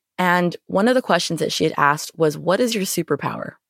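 A woman with an American accent and a normal speaking voice, fairly low in pitch, at a moderate pace, in a dry, close sound with no echo. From Florida, then Canada from high school. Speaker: podcast host and nonprofit director. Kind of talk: solo podcast monologue.

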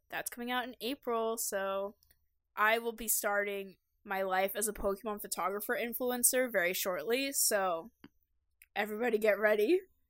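In a very clean recording with a silent background, a woman with an unremarkable speaking voice speaks at a moderate pace, a fairly high pitch, and fairly even intonation. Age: 20s. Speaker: podcast co-host. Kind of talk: casual chat.

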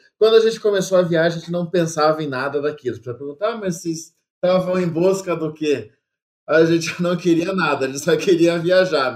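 This is a man with a plain, everyday voice. His pitch is fairly high and varies in an ordinary way. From Brazil. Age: 30s. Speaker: travel content creator. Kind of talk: casual interview.

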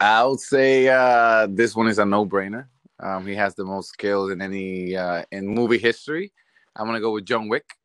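A man with a fairly low pitch and fairly even intonation talks at a moderate pace in a dry, close sound with no echo. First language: not English. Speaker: fantasy football league player. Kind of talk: casual chat.

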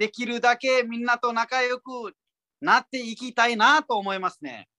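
The speaker has a Nepali accent and talks at a moderate pace. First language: Nepali (speaking Japanese). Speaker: comedian. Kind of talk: interview. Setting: pre-recorded audio.

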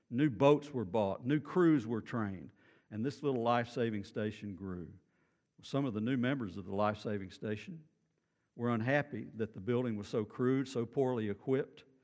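Speaking in a Texan accent, a man with a medium pitch talks at a moderate pace with ordinary pitch variation against a quiet background. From Texas, Beaumont. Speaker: pastor. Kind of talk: sermon. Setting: church.

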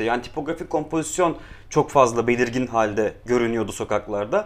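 Here is a man with a plain, everyday voice. He keeps a moderate pace and ordinary pitch variation. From Istanbul, Kurtuluş. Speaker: street artist and illustrator. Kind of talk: casual chat.

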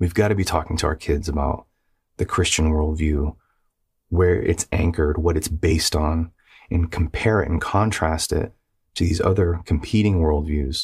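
A man with a very deep, low voice speaks at a moderate pace, slightly breathy, with fairly even intonation and very even loudness on a very clean recording with a silent background. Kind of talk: exhortation monologue. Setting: video recording. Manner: faint, weak.

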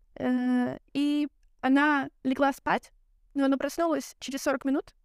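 High-pitched female speech with fairly even intonation, in a dry, close sound with no echo. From Belarus. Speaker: guest, media student and event worker. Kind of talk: casual conversational podcast.

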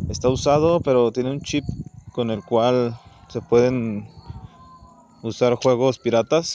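With a Mexican accent, a man of medium pitch speaks at a very slow pace with fairly even intonation and long, frequent pauses, against noticeable background noise. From Mexico. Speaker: podcaster. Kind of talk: casual monologue. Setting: outdoors, walking. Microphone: phone recording.

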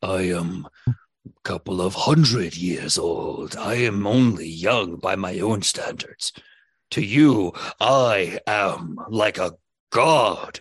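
A man talks at a very slow pace in a put-on character voice. His voice is raspy and fairly low in pitch. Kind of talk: comic overacting. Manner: formal, archaic, grandiose; socially awkward, earnest.

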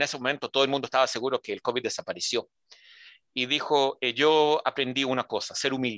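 Speech comes at a very fast pace in a very clean recording, the background silent and the sound dry and close with no echo. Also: man. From Israel, born in Santiago de Chile. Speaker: emergency services director. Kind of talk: interview.

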